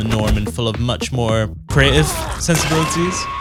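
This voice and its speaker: Music plays in the background as a man speaks. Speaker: video essayist. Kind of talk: video essay narration.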